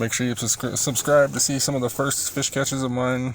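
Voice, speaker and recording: This man has a normal speaking voice with a medium pitch. He talks at a fairly quick pace with an American accent. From Colorado. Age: 20s. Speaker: fishing vlogger. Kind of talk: voiceover narration. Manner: casual, filler-heavy.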